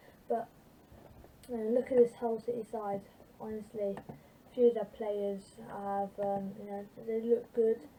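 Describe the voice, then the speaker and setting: A woman speaks quietly at a fairly slow pace with a fairly high pitch, flat monotone intonation, and long, frequent pauses. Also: big swings in loudness. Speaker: football fan vlogger. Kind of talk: casual football preview vlog. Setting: home at night. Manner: quiet, subdued volume; hesitant, many fillers.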